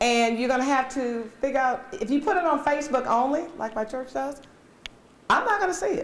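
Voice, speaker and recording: Lively intonation marks a woman's high-pitched voice. Audible room echo surrounds it. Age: 60s. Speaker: community workshop presenter. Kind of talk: workshop discussion.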